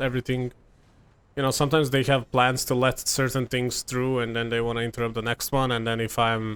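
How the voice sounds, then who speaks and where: With a Serbian accent, a man talks at a fairly quick pace and medium pitch in a monotone, flat intonation, recorded dry and close with no echo. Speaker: gaming content creator. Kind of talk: gameplay commentary. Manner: casual, filler-heavy.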